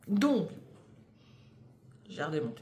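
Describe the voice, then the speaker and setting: A somewhat breathy woman's voice at a fairly slow pace, with audible room echo. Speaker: knitting podcaster. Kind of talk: casual monologue. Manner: hesitant, many fillers.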